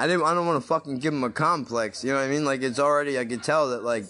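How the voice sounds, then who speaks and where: The speaker talks at a very fast pace with ordinary pitch variation. Noticeable background noise is present. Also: man, fairly high pitch for a man. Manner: loud, talks at one volume, yells; casual, profane banter.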